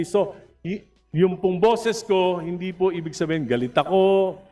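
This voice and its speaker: A man's loud, high-pitched voice with music in the background. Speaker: congressman. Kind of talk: legislative debate. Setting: house of representatives session. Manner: passionate.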